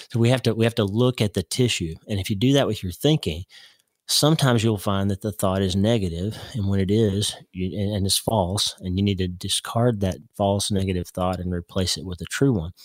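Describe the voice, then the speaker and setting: A man with an American accent speaks at a fairly quick pace in a normal speaking voice, his pitch fairly low with ordinary variation. The recording is very clean with a silent background, and the sound is dry and close with no echo. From Oklahoma, US. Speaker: neurosurgeon and author. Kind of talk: radio interview.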